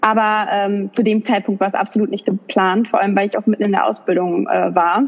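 Over noticeable background noise, the speaker talks at a fairly quick pace with fairly even intonation and hardly any pauses. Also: woman, medium pitch for a woman. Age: 20s. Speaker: influencer and young mother. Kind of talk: interview.

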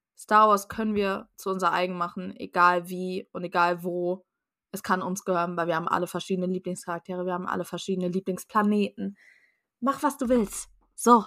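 In a very clean recording with a silent background and a dry, close sound with no echo, a woman with a medium pitch talks at a fairly quick pace in an animated, bright, sharp tone. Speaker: podcast guest, fan. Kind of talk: casual chat.

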